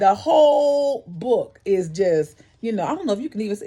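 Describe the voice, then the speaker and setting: The voice sounds animated and moves at a fairly quick pace amid noticeable background noise. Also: woman. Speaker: book club video host. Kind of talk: reading aloud and commentary on a book. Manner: fast.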